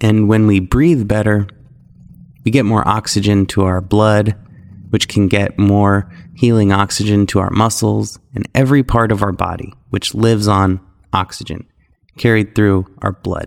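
This man has an ordinary speaking voice, pitched fairly low, with fairly even intonation. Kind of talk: guided meditation. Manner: slow, calm and soothing, with long hummed stretches.

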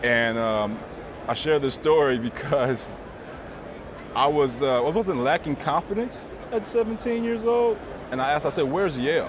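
At a moderate pace and in an American accent, the speaker makes very wide pitch swings with long, frequent pauses over noticeable background noise. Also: man, fairly high pitch for a man. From US West Coast, Inglewood, Los Angeles. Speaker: credit union executive. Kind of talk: interview conversation. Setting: conference venue.

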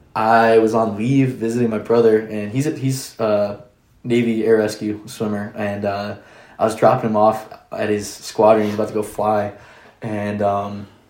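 With audible room echo around him, a man with an American accent talks at a moderate pace in a fairly low pitch and a monotone, flat intonation. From Orlando, Florida. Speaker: coffee shop owner, military member. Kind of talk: casual interview chat.

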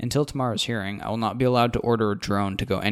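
The speaker reads aloud plainly with fairly even intonation.

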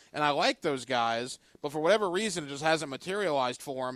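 A man at a fairly high pitch, very fast and with lively intonation, in a very clean recording with a silent background. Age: 30s. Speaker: sports radio host. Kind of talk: casual sports talk.

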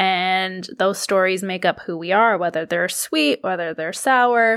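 On a very clean recording with a silent background, a woman with a Canadian accent uses an ordinary speaking voice at medium pitch with ordinary pitch variation. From Canada, Toronto. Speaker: podcast host. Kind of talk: solo casual monologue.

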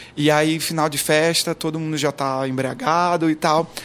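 Speaking slowly, a man has an unremarkable speaking voice. His pitch is fairly high and his intonation fairly even. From Brazil, interior of Pernambuco (Garanhuns). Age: 20s. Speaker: pop singer. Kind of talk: interview. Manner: casual.

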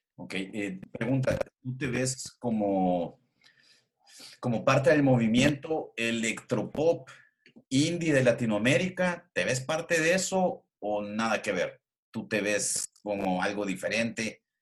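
Speaking very slowly with a Salvadoran accent, a man with a medium-pitched voice uses lively intonation. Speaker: podcast host. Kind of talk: casual interview.

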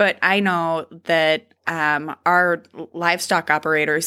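With an Upper Midwest accent, a woman speaks at a fairly low pitch in a bright, sharp tone. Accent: Upper Midwest American. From North Dakota (near Dodge). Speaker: state senator. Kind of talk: interview. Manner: gestures a lot while talking.

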